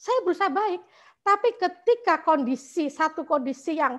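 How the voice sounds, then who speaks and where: Against a quiet background, a woman speaks at an extremely high pitch with very wide pitch swings. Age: 60s. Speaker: meditation class participant. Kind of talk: testimony. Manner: halting.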